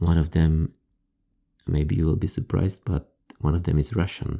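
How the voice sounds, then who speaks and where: The voice has a dark, mellow tone and ordinary pitch variation, with a Polish accent. The sound is dry and close with no echo, in a very clean recording with a silent background. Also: man. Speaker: ASMR creator. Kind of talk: casual talk to camera, answering viewer questions. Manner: halting, with fillers.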